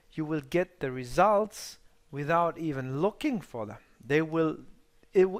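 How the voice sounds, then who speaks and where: A man with a non-native accent speaks at a fairly slow pace and fairly high pitch, with lively intonation. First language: not English. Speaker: trading mentor. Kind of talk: live webinar workshop. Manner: halting.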